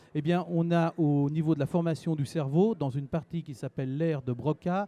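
A man with a fairly high pitch has a dark, mellow tone, and the sound is dry with no echo. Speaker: regional language teachers' association president. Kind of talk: interview answer. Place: hall. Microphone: handheld.

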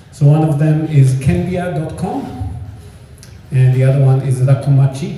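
Audible room echo and light background noise are present. The speaker goes at a fairly slow pace with ordinary pitch variation. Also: man, fairly high pitch for a man. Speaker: real estate consultant. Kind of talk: seminar presentation. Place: hall.

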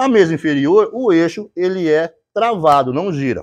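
A man talks with very wide pitch swings. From Brazil. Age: 50s. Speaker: YouTuber, tool sharpener. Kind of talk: angry rebuttal monologue; casual vlog rant and technical explanation. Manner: heated, confrontational. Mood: annoyed, defiant toward critics. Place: workshop. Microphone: lapel.

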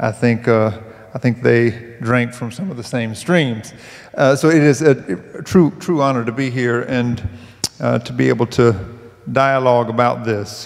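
With a quiet background, a man speaks in a Southern US accent at a fairly slow pace. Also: ordinary pitch variation. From US South. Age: 30s. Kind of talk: panel discussion. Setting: stage with audience. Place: stage. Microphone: handheld.

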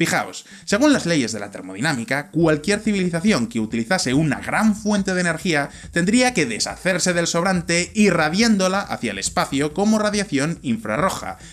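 A man with a Valladolid accent speaks in an animated tone at a moderate pace, with hardly any pauses. His high pitch swings very widely. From Spain, Valladolid; Spain. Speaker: science explainer video host. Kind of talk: scripted narration. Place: home room. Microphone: studio mic.

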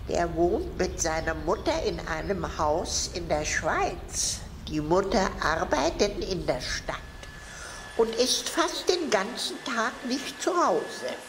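A put-on character voice moves at a fairly slow pace over loud background noise. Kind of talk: children's fairy-tale narration.

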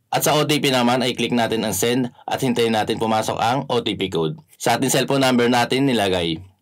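Speaking at a fairly quick pace over a quiet background, the man shows ordinary pitch variation. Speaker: app tutorial host. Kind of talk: tutorial. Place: home room.

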